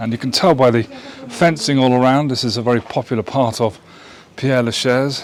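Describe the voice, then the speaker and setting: Over noticeable background noise, a man with an English accent talks at a fairly quick pace and medium pitch. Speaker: vlogger. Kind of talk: travel vlog. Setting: outdoors. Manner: animated; lowered voice.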